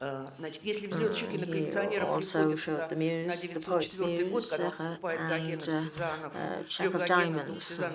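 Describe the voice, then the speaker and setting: A woman's fairly low voice at a very slow pace and fairly even intonation, with audible room echo and noticeable background noise. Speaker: symposium speaker. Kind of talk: conference lecture. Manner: halting, many fillers.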